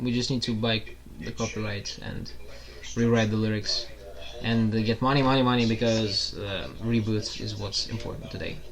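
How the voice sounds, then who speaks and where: Against noticeable background noise and audible room echo, a man speaks at a medium pitch in a monotone, flat intonation. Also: moderate pace. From Russia. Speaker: podcast guest, host's roommate. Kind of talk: casual chat.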